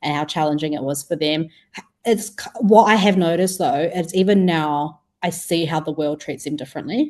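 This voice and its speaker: A woman speaks in a New Zealand accent at a fairly low pitch. Her pitch varies in an ordinary way. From New Zealand, Wellington. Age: 20s. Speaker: food startup co-founder. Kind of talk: podcast interview.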